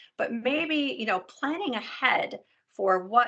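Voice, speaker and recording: A normal speaking voice at a fairly slow pace, with lively intonation. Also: woman. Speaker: health and wellness coach. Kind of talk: educational talk to a support group.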